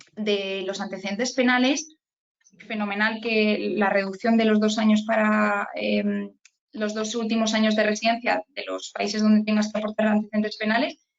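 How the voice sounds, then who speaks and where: A woman with a fairly high voice speaks at a moderate pace in a monotone, flat delivery. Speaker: immigration lawyer. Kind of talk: online training talk.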